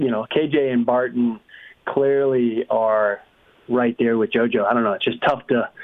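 A man with an American accent and a normal speaking voice, medium in pitch, fairly even in intonation, very even in loudness, at a fairly slow pace. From New England, US. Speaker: motocross stats specialist. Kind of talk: casual chat.

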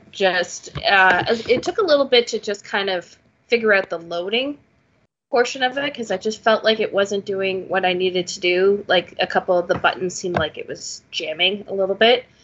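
A woman with a Canadian accent and an ordinary speaking voice talks at a moderate pace, using a medium pitch and ordinary pitch variation. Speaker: podcast host. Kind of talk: casual chat.

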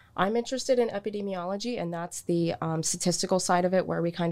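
A woman with an American accent in a normal speaking voice, fairly low in pitch, at a fairly quick pace. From Florida, US South. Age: 20s. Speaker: public health student. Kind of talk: casual interview.

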